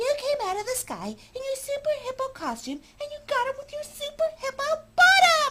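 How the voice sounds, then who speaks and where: This is a squeaky, put-on character voice. It moves along at a moderate pace. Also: man, extremely high pitch for a man. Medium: read story.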